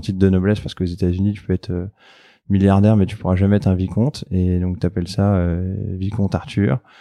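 A man speaks at a fairly quick pace in a very deep, low voice with a dark, mellow tone. His intonation stays fairly even against a quiet background. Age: 30s. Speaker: entrepreneur. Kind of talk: casual interview chat. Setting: in his office.

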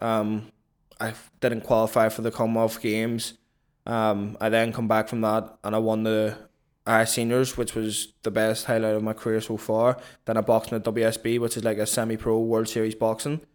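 A man with a medium pitch speaks at a moderate pace in a monotone, flat intonation, the recording very clean with a silent background. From Belfast, Northern Ireland (born in London, moved at seven). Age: 20s. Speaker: professional boxer. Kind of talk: casual interview.

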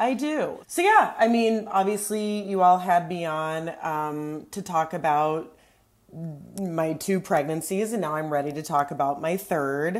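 Here is a woman with a plain, everyday voice. Her pitch is fairly low. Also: ordinary pitch variation, fairly slow pace. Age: 40s. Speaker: returning guest, comedian and mother of two. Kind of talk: casual chat. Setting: studio.

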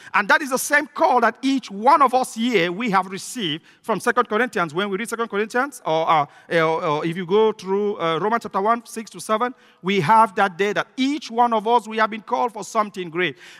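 This man talks at a fairly quick pace with hardly any pauses, his pitch high. The sound is dry and close, with no echo. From Cameroon. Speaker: visiting pastor. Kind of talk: sermon. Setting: church. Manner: fast talker.

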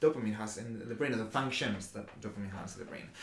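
A man speaks against noticeable background noise. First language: not English. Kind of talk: casual explanatory chat. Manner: halting.

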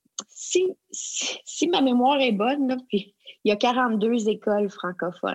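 This woman's pitch varies in an ordinary way. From Quebec (Abitibi, Outaouais). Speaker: education consultant. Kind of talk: interview. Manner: halting.

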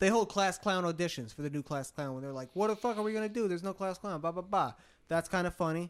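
On a very clean recording with a silent background, the voice moves at a very fast pace with ordinary pitch variation. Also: man, high pitch for a man. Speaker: podcast co-host, musician. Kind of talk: casual chat. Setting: in-person in an apartment.

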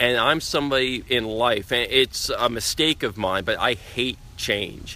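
Over noticeable background noise, a man with a New York accent speaks at a fairly slow pace and a very even loudness. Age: 40s. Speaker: BMX rider and endurance cyclist. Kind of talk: casual interview. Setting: outdoors. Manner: enthusiastic.

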